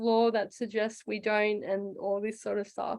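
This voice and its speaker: A woman with an Australian accent. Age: 30s. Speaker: comedian. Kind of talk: casual chat. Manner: halting.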